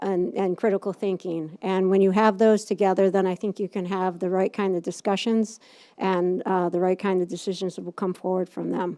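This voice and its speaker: In an upstate New York accent, a woman speaks at medium pitch and a moderate pace, her dark, mellow tone flat and monotone, in a dry, close sound with no echo on a very clean recording with a silent background. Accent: upstate New York accent, unfamiliar locally. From upstate New York, Utica. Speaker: political candidate. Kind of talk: candidate forum speech. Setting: public meeting with audience. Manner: halting, many fillers.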